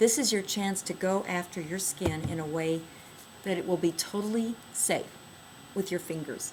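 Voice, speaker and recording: A woman at a medium pitch and moderate pace, with noticeable background noise. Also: ordinary pitch variation. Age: 60s. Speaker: skincare product inventor. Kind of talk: product demonstration tutorial.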